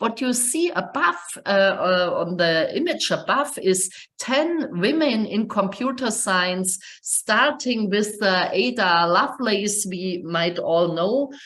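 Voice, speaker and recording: A woman in a German accent, fairly high-pitched and lively in intonation, at a very slow pace amid audible room echo. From Germany. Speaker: computer science professor. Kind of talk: webinar lecture. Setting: online webinar. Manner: halting, many fillers.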